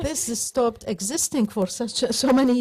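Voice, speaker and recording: A woman speaks in an Arabic accent at a fairly slow pace. Her pitch varies in an ordinary way. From Iraq, Baghdad. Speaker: novelist and political commentator. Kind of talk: panel discussion. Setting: theater stage with audience. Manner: halting.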